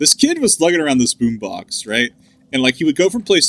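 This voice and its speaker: With an American accent, a man speaks in a fairly high, bright, sharp tone with very wide pitch swings, the sound dry and close with no echo. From US South. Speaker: gaming podcast co-host. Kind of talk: casual chat. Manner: many filler words (uh, like).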